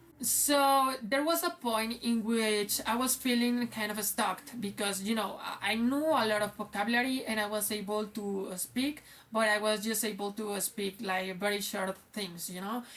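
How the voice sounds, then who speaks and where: Against noticeable background noise, a woman with a Spanish accent talks at a moderate pace, her fairly high pitch showing ordinary variation. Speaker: English teacher. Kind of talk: casual vlog talk. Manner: halting, many fillers.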